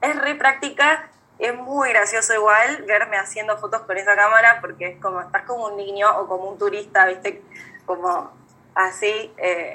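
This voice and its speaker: Her pitch is fairly high and varies in an ordinary way. The woman speaks at a moderate pace with big swings in loudness. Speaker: young photographer. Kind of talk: casual chat. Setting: video call. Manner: halting.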